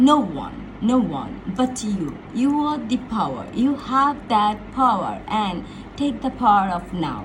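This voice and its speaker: Speaking at a very slow pace, a woman uses a fairly high pitch and lively intonation. The room echo is audible, and the background noise is noticeable. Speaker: motivational speaker. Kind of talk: casual motivational talk. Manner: animated.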